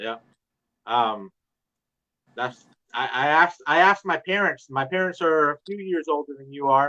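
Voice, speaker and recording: A man's unremarkable speaking voice, pitched fairly high, with ordinary variation in pitch. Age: 40s. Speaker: podcast host and dessert business owner. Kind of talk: casual interview chat.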